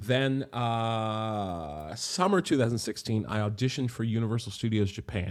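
A man in a plain, everyday voice, with hardly any pauses. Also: medium pitch for a man, lively intonation, moderate pace. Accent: American. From West Virginia, Morgantown. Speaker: stage performer. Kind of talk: interview. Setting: remote call.

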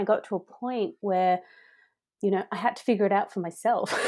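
A woman with an Australian accent and a dark, mellow tone speaks over a quiet background. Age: 40s. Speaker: happiness coach. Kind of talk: interview.

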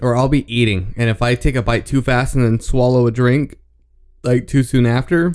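A man's medium-pitched voice at a moderate pace, with very even loudness. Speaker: podcast host doing movie commentary. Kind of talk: casual movie commentary chat. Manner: animated.

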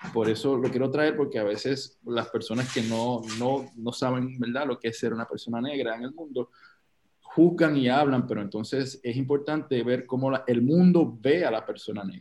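A man with a medium pitch and a dark, mellow tone talks at a moderate pace. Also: ordinary pitch variation. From Puerto Rico, Loíza. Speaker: actor and producer. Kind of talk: casual chat.

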